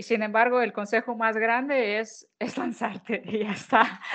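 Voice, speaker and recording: Her pitch sits fairly high for a woman. She speaks at a fairly slow pace. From Ukraine. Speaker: food marketing consultant and content creator. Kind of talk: interview.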